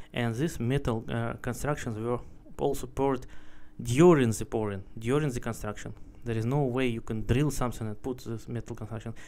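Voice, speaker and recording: A man speaks with a Russian accent and fairly even intonation. His tone is dark and mellow. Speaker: video blogger, traveler. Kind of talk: casual monologue, travel vlog. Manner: halting, searching for words; opinionated, indignant. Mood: curious, speculative. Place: street. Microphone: phone near.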